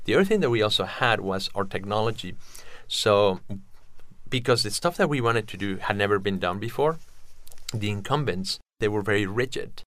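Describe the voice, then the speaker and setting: A fairly low-pitched man with a Spanish accent, a fairly quick pace and long, frequent pauses, on a very clean recording with a silent background. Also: ordinary pitch variation. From Mexico City, Mexico. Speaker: entrepreneur. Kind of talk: interview.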